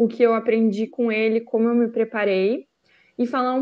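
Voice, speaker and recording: A woman speaks at a moderate speed in a fairly high register, using an ordinary speaking voice. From Rio Grande do Sul, Brazil (Lajeado). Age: 20s. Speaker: former exchange student. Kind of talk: presentation.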